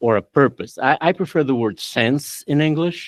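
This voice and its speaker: In a Portuguese accent, a man speaks at a fairly high pitch. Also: dry, close sound with no echo. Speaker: law professor. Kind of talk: academic discussion after a lecture. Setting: auditorium. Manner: halting.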